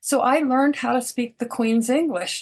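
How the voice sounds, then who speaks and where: A woman with an American accent has an unremarkable speaking voice, pitched fairly high. She talks at a moderate pace with ordinary pitch variation. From raised all over the world, American. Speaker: physician. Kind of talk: interview conversation.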